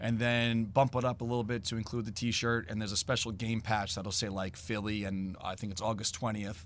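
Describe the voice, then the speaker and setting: A normal speaking voice from a man, fairly low in pitch, fairly quick, with fairly even intonation. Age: 40s. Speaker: fan apparel business owner. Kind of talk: interview. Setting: team store.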